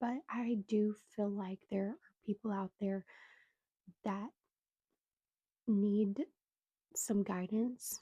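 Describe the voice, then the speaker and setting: A woman speaks at a very slow pace with long, frequent pauses, her voice somewhat breathy, medium in pitch and dark and mellow in tone. Her intonation stays fairly even, and the sound is dry and close with no echo. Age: 20s. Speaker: podcaster sharing personal story. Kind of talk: testimony. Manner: halting, many fillers.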